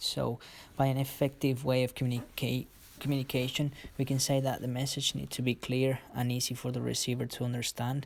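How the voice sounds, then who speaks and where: Speaking with a Spanish accent, a man talks at a fairly quick pace and a medium pitch. His intonation is monotone and flat, and the recording is very clean with a silent background. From Colombia, Cali. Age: 20s. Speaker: football coach. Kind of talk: presentation. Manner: halting.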